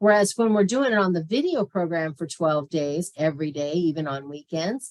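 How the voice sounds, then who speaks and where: With lively intonation and a fairly low pitch, a woman speaks at a moderate pace. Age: 60s. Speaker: health coach teaching a diet class. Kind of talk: online class with Q&A. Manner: casual, hesitant with fillers.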